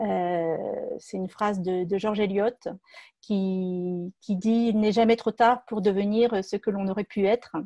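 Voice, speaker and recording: Against a quiet background with a dry, close sound and no echo, a woman speaks very slowly in a dark, mellow tone at medium pitch with fairly even intonation. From France, Seine-et-Marne. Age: 50s. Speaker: entrepreneur. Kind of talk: personal testimony. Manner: halting, many hesitations.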